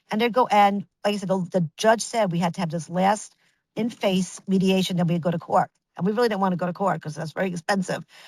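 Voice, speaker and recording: In a New York accent, a woman at medium pitch talks at a fairly quick pace, the sound dry and close with no echo. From Brooklyn, New York. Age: 60s. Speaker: image consultant. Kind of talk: interview storytelling. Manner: animated; halting.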